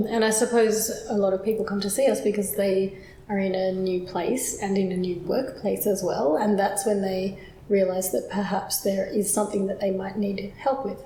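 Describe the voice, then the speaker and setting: A woman's fairly even intonation and moderate pace come through over noticeable background noise. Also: medium pitch for a woman. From Australia. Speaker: accent coach, phonetician. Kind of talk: unscripted conversational explainer.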